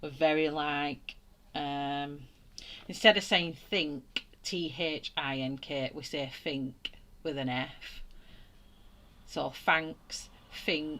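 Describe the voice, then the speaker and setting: With a strong Lancashire accent, a woman talks at a very slow pace with long, frequent pauses, her very deep, low pitch carrying a bright, sharp tone, fairly even intonation and big swings in loudness. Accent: broad flat northern English (Wigan). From northern England, Wigan. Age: 40s. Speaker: art YouTuber. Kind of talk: live stream chat while colouring. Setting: live stream. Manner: casual, chatty.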